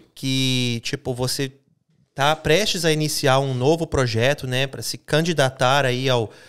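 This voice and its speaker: Speech comes at a fairly slow pace on a very clean recording with a silent background. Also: man. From Minas Gerais roots, raised abroad. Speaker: podcast host. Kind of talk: casual interview. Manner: high energy.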